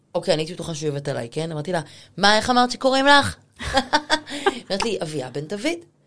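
Talking at a very fast pace, a woman uses an animated tone. Her medium-pitched voice moves in very wide pitch swings. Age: 40s. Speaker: personal stylist. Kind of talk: casual chat.

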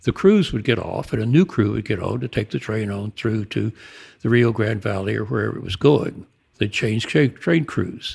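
A man's fairly low voice with vocal fry and lively intonation, in a very clean recording with a silent background. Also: moderate pace. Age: 80s. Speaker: author and retired civil engineer. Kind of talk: casual interview conversation.

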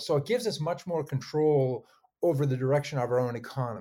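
A man's fairly high, somewhat breathy voice with a dark, mellow tone and ordinary pitch variation, at a fairly quick pace on a very clean recording with a silent background. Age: 60s. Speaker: energy consultant and author. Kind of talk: interview. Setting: podcast recording.

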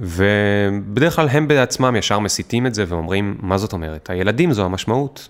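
With an ordinary speaking voice, a man talks at a fairly low pitch and moderate pace, lively in intonation and with hardly any pauses. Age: 30s. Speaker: startup founder and author. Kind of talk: casual interview.

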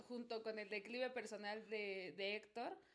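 A woman with a Mexico City accent speaks with ordinary pitch variation. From Mexico City (Azcapotzalco). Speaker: guest, salsa fan. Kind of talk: casual chat.

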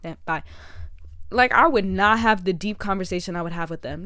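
A plain, everyday voice from a woman at a medium pitch, at a fairly quick pace. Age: 18. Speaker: podcast host. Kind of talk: casual monologue. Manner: fast.

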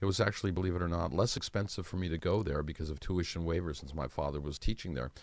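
Over a silent background on a very clean recording, a man with a very deep, low pitch and vocal fry speaks at a very fast pace with hardly any pauses and ordinary pitch variation. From US Midwest (Ann Arbor, Michigan). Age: 70s. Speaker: magician. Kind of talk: interview. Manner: soft-spoken.

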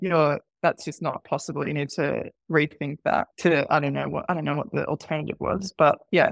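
A woman with an Australian accent talks at a fairly quick pace in a dry, close sound with no echo and a quiet background. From Sydney, Australia (part of childhood in Qatar). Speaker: marketing manager. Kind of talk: interview.

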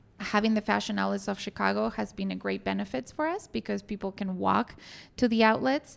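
A woman talks at a fairly quick pace with a Spanish accent. The recording is very clean, with a silent background. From Argentina. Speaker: hotel general manager. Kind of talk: interview. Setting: hotel meeting room.

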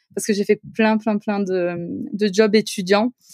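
In a dry, close recording with no echo, a woman speaks at a medium pitch with fairly even intonation. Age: 30s. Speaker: architect and property investor. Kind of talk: casual interview.

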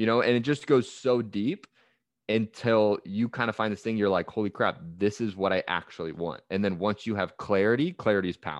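Heard against a quiet background with a dry, close sound and no echo, a man with a Californian accent talks at a fairly quick pace, his pitch fairly low and his pitch variation ordinary. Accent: Californian American. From US West Coast, San Francisco Bay Area. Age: 20s. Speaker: performance coach. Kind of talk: interview.

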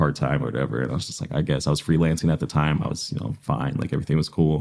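Speaking very fast with a Midwestern US accent, a man uses a very deep, low pitch with vocal fry and ordinary pitch variation. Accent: US Midwest. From Iowa, Des Moines east side. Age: 20s. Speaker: podcaster and small business marketer. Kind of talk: casual interview chat.

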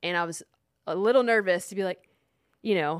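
Talking at a very fast pace with ordinary pitch variation, a woman speaks in a Texan accent on a very clean recording with a silent background. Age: 30s. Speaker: podcast co-host and fitness company co-founder. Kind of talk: casual chat. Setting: studio.

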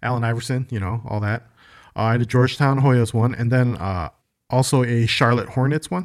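A man with a plain, everyday voice talks at a fairly quick pace, medium in pitch with ordinary pitch variation, on a very clean recording with a silent background. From Chicago, US. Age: 40s. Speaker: podcast co-host. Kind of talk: casual chat.

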